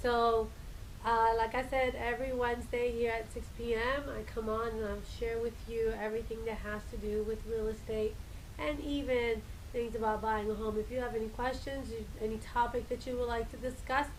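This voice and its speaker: The speech moves at a moderate pace in a flat, monotone delivery. Audible room echo and noticeable background noise come through. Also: woman, fairly high pitch for a woman. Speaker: realtor. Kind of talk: live stream talk. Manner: hesitant, many fillers.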